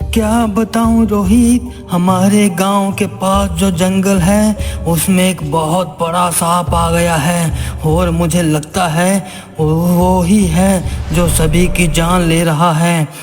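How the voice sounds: In a cartoonish character voice, a man speaks fairly slowly at very even loudness over clear background noise.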